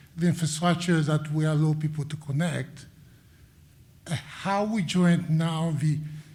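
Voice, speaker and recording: A man with an American accent, fairly high in pitch and dark, mellow in tone, at a fairly slow pace amid audible room echo. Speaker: engineer and doctoral student, audience questioner. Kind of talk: audience question.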